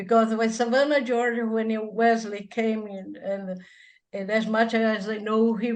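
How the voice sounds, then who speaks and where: Audible room echo surrounds a woman with a Brazilian accent. Her fairly high pitch moves at a fairly slow pace. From Brazil, north (Belém, Amazon region). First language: Portuguese. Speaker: church musician and hymnologist. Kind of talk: interview. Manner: halting, with many false starts.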